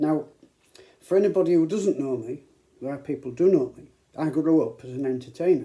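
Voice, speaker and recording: Speaking at a fairly quick pace with long, frequent pauses, a man with a fairly high pitch and a dark, mellow tone uses ordinary pitch variation and big swings in loudness. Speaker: YouTuber and entertainer. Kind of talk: casual talk to camera.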